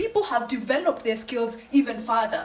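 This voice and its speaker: Noticeable background noise under a woman talking at moderate speed, her pitch varying in an ordinary way. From Kenya. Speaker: podcast host. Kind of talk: monologue commentary.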